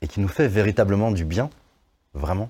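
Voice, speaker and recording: A man's very deep, low voice, dark and mellow and somewhat breathy, with lively intonation, in a very clean recording with a silent background. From France, Lyon area (Vaulx-en-Velin). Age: 40s. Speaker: slam poet and singer. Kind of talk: interview.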